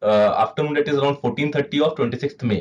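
A man with an Indian accent, a fairly high pitch, ordinary pitch variation, and a fairly quick pace. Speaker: meteorologist presenter. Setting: video presentation with slides. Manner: formal, measured, explanatory pace with frequent 'uh' fillers. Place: office.

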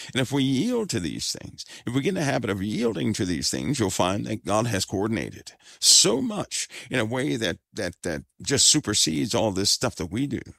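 With lively intonation and vocal fry, a man speaks at a moderate pace and a fairly low pitch, in a very clean recording with a silent background and a dry, close sound with no echo. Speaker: religious teacher / host of a faith-based fireside chat. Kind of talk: fireside chat / sermon-style talk to an audience. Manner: soft-spoken, calm.

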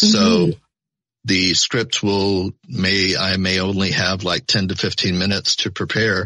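A man's fairly low voice has a bright, sharp tone and very even loudness. He speaks at a fairly slow pace with monotone, flat intonation. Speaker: voice actor. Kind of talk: interview answer.

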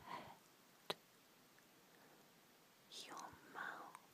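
Whispering against noticeable background noise. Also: woman. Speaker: ASMR artist and tarot reader. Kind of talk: guided relaxation. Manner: whispered; soft-spoken, slow.

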